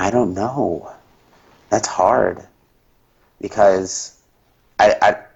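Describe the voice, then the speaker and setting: A man with an American accent speaks at a very slow pace with long, frequent pauses, ordinary pitch variation, and a somewhat breathy sound. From US Midwest, southeastern Indiana. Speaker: hotel food and beverage worker. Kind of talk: interview. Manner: halting, many fillers and restarts.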